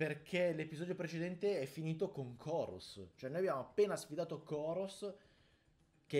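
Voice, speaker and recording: Ordinary pitch variation from a male speaker. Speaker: gaming creator. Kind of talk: gameplay commentary. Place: home room.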